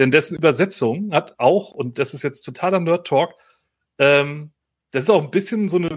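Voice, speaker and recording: A man speaks in an unremarkable speaking voice, fairly high-pitched, with ordinary pitch variation. His pace is moderate, and the recording is very clean with a silent background. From northern Germany, Otterndorf on the North Sea. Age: 40s. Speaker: podcast host. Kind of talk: casual chat.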